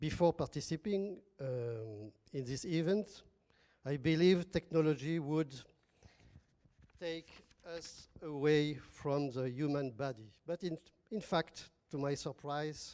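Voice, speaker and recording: Speaking at a fairly slow pace with long, frequent pauses, a man with a French accent has a dark, mellow tone and a fairly high pitch with ordinary pitch variation. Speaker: academic partner from a French institution. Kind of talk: formal speech at an event.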